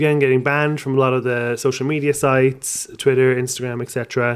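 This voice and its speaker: A man with an Irish accent at medium pitch, his intonation fairly even. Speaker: podcaster and comedian. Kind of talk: casual chat.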